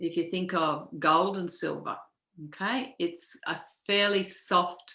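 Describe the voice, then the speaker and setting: The voice carries an Australian accent with a bright, sharp tone. It moves at a very slow pace. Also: woman. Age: 60s. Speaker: feng shui teacher. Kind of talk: casual chat.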